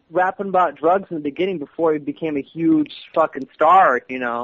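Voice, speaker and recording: A man talks at a moderate pace with ordinary pitch variation and a fairly high pitch. It is an unremarkable speaking voice. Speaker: guest co-host. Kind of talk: casual chat.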